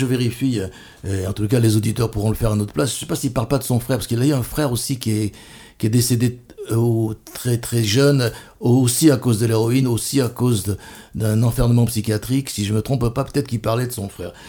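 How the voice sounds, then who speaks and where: The voice is somewhat breathy and dark, mellow in tone, moving at a very fast pace with ordinary pitch variation. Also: man, medium pitch for a man. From France, Bordeaux. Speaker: radio host. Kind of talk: radio interview. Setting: studio.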